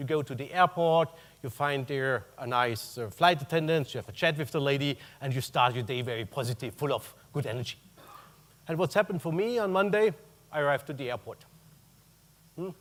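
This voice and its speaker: A man with a German accent speaks at a fairly quick pace and fairly high pitch. His intonation is lively, with big swings in loudness. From Germany. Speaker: corporate purchasing executive. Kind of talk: conference talk.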